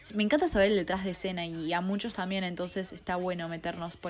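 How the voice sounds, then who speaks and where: With music in the background, a woman talks at a fairly quick pace in a fairly low voice. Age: 20s. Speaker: podcast host, film critic. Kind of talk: podcast monologue. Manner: fast; animated.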